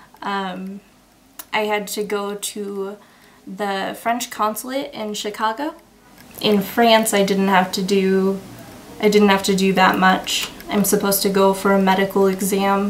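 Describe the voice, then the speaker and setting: Fairly slow and with fairly even intonation, the speech plays over noticeable background noise. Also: woman, medium pitch for a woman. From Michigan, US. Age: 20s. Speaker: student. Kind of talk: interview answers. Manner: hesitant, many ums.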